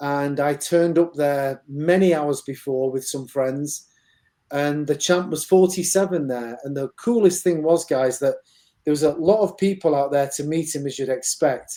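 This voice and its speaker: The speaker has a Mancunian accent and keeps a moderate pace. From northern England, Manchester. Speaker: boxing gym executive, IT professional. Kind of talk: interview, casual chat.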